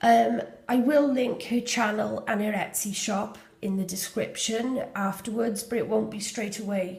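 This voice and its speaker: The speaker has a Welsh accent and talks at a fairly slow pace. Intonation stays fairly even over noticeable background noise. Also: woman, fairly high pitch for a woman. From Wales. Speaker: junk journal maker. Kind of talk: casual journal flip-through talk to camera.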